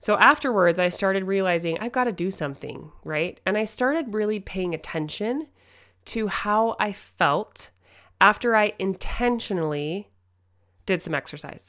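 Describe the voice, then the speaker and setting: On a very clean recording with a silent background, a woman at medium pitch talks at a moderate pace, her tone animated, bright and sharp, her intonation lively. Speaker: podcast host, mother. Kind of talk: motivational solo talk.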